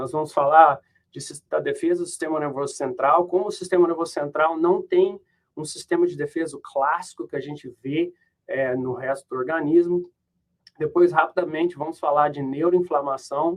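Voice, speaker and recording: With big swings in loudness, a man speaks at a fairly high pitch and a moderate pace, his intonation fairly even. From Brazil. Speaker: professor. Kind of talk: lecture. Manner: halting.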